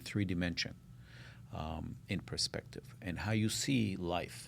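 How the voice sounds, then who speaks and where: A man's very deep, low voice at a fairly slow pace, with ordinary pitch variation. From Israel, then Minnesota from age 12. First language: Hebrew. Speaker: architect. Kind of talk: interview.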